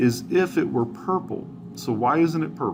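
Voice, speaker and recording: There is vocal fry in this man's fairly high-pitched voice. His pitch swings very widely. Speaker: teacher. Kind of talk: tutorial.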